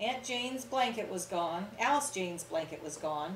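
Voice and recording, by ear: The intonation stays lively as the text is read out in a natural voice.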